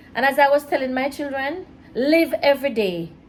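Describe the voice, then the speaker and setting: A woman speaks at a high pitch with lively intonation. Noticeable background noise is present. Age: 60s. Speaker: mother of the host, married woman. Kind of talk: casual chat. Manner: soft-spoken.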